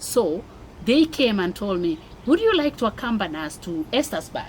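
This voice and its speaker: A woman with a Kenyan accent at a moderate pace, fairly high in pitch, with very wide pitch swings. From Kenya (Mombasa). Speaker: immigrant mother sharing life story. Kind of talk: interview testimony. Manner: animated.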